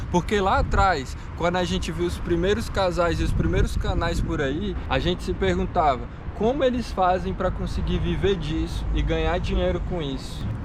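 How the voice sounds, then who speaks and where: Noticeable background noise and audible echo from the room fill the recording. Through it, a man talks at a moderate tempo. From Brazil, Brasília, Amapá and Tocantins. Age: 20s. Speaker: travel vlogger. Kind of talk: casual vlog talk to camera.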